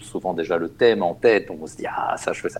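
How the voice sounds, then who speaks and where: A man talks at a fairly quick pace. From Germany. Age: 40s. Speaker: opera singer and board game designer. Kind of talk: casual interview. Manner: halting.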